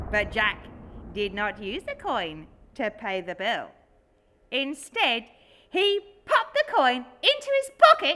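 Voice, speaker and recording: Using a put-on character voice, a woman speaks at a high pitch with long, frequent pauses. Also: fairly slow pace. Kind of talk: comic fireside storytelling. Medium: solo performance. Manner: chatty, giggly.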